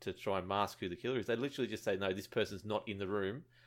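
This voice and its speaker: In an Australian accent, a man speaks with ordinary pitch variation on a very clean recording with a silent background. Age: 30s. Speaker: gaming podcaster and streamer. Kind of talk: casual chat.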